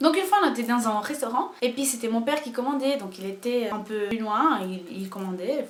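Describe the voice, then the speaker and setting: A woman talks at a fairly quick pace with an animated tone and lively intonation. Noticeable background noise runs underneath. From Portugal. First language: Portuguese (speaking French). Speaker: YouTuber. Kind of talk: casual vlog storytelling. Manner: animated, hesitant with fillers.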